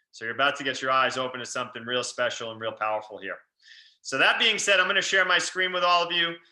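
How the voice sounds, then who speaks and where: This man's medium-pitched voice has a bright, sharp tone, lively intonation, and a very fast delivery. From New York, Long Island. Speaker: real estate investor. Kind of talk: webinar presentation. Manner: animated.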